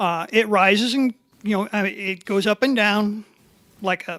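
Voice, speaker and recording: With a Midwestern US accent, a woman speaks at a fairly slow pace in a medium pitch with ordinary pitch variation, the sound dry and close with no echo. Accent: rural Midwestern US. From Lorain County, Ohio. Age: 60s. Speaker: local farmer and resident. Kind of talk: public comment. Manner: hesitant, many fillers.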